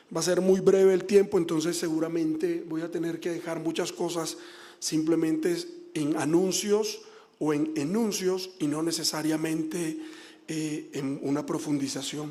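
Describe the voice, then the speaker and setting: Audible room echo surrounds a man speaking at a high pitch and a fairly slow pace. His tone is dark and mellow, with fairly even intonation. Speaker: government official, former human rights defender. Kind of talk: formal speech at public hearing. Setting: senate public hearing.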